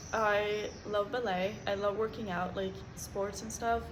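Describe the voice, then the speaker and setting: Flat, monotone intonation with audible room echo and noticeable background noise. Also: woman. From Norway. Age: 20s. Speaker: vlogger. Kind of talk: casual chat.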